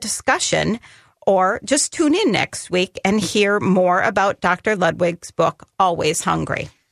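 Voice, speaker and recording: She has a plain, everyday voice at a medium pitch, with lively intonation. The sound is dry and close, with no echo. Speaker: radio host and dietitian. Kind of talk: call-in radio show interview. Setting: studio.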